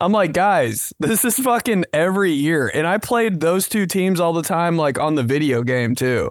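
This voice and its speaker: In a very clean recording with a silent background, a man talks in an animated tone at a high pitch, with lively intonation and hardly any pauses. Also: moderate pace, very even loudness. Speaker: podcast host. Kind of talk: casual chat.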